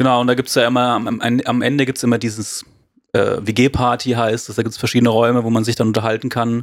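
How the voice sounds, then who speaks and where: A man talks at a very fast pace in a monotone, flat delivery, on a very clean recording with a silent background. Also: medium pitch for a man. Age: 20s. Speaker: graphic designer, church volunteer. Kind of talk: casual chat.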